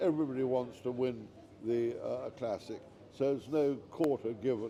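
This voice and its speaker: This man talks at a moderate pace with a medium pitch and fairly even intonation. His tone is dark and mellow. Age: 80s+. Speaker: author. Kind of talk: interview answer.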